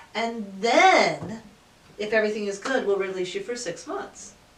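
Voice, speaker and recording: A woman with a fairly high pitch speaks at a moderate pace. Audible room echo and noticeable background noise are present. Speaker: audiologist. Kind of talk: casual chat. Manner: loud.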